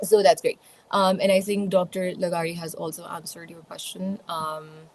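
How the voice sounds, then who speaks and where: Speaking with a Pakistani accent at a moderate pace, a woman with a medium pitch keeps a monotone, flat intonation while her loudness swings widely. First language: Urdu. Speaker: communication skills speaker. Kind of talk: online panel Q&A. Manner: hesitant, many fillers.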